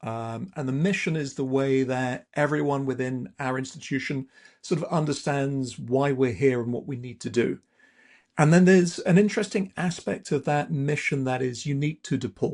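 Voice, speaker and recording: Speaking at a moderate pace, a man with an English accent has a fairly high voice and ordinary pitch variation. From southern England. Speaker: university AI institute director. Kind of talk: interview.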